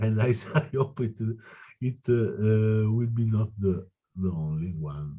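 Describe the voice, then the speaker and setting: A man's fairly low, dark and mellow voice with an Italian accent, somewhat breathy, at a fairly slow pace. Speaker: citizen activist. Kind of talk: meeting discussion. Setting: video call. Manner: halting.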